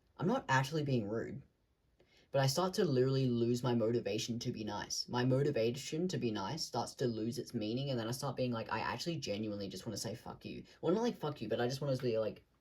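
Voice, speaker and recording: Very fast, somewhat breathy delivery with ordinary pitch variation. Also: man, medium pitch for a man. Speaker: vlogger. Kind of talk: casual monologue to camera. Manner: rambling, searching for words.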